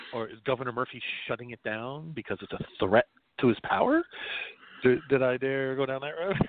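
A man at a medium pitch in a New Jersey accent, ordinary pitch variation, big swings in loudness, a fairly quick pace and long, frequent pauses. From New Jersey (South River, Middlesex County). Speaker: podcast host. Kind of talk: casual chat. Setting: online call-in show.

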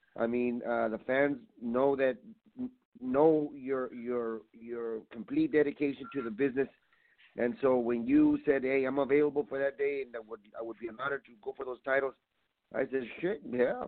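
Using an unremarkable speaking voice, a man of medium pitch keeps a fairly even intonation at a moderate pace. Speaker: pro wrestler (luchador). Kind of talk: promo-style wrestling event promotion. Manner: earnest, hyping, emotional.

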